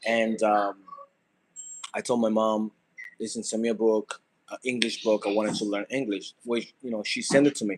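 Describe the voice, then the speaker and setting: A man speaks at a moderate pace in a monotone, flat intonation, with long, frequent pauses. The sound is dry and close, with no echo. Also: medium pitch for a man. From Dominican Republic. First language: Spanish. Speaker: content creator. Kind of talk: casual vlog monologue. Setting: cooking at home. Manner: halting, many fillers.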